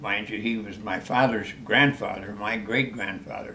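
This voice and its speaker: A fairly slow voice with an American accent, noticeable background noise and audible room echo. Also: man. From US Midwest, Iowa. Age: 90s. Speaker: war veteran. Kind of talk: interview.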